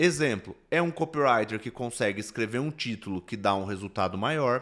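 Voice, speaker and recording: This man has a plain, everyday voice, pitched fairly low. He talks at a fairly quick pace in a very clean recording with a silent background. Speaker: business consultant. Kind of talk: recorded lecture. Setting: solo recording instead of livestream. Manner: explanatory, conversational.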